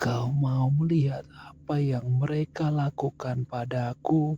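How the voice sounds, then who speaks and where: Putting on a character voice, a man sounds hoarse and raspy at a medium pitch. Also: fairly slow pace. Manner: barely audible, eerie.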